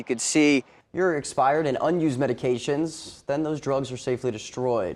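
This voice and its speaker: A man with an ordinary speaking voice keeps fairly even intonation at a moderate pace. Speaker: TV news anchor and reporter. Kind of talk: local TV news reporting.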